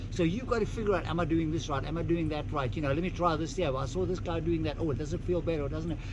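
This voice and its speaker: A man talks at a very fast pace with an animated tone and hardly any pauses. Audible room echo and noticeable background noise fill the recording. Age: 70s. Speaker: motocross instructor. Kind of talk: casual chat.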